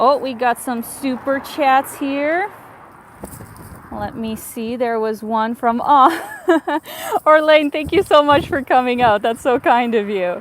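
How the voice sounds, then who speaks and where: Woman's high voice, very slow, with long, frequent pauses and noticeable background noise. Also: ordinary pitch variation. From Canada. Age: 30s. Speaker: travel vlogger. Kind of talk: live stream chat. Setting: outdoors walking city streets. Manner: animated.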